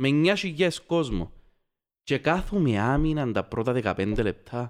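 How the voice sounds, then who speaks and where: A man speaks at a fairly slow pace with very wide pitch swings and very even loudness. The background is quiet. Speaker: football podcast host. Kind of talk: casual chat.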